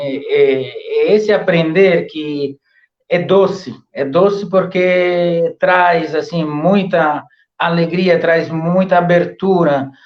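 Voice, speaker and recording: A man speaks with an Italian accent at a high pitch. His pitch variation is ordinary. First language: Italian (speaking Portuguese). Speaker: professor. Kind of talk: interview. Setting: live stream. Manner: halting, many fillers.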